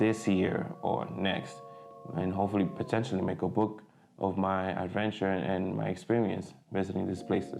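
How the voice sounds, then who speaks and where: Amid audible room echo and background music, a man with a fairly low pitch talks at a fairly quick pace. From Dominican Republic. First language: Spanish. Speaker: photographer and vlogger. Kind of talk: casual vlog update. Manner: hesitant, many fillers.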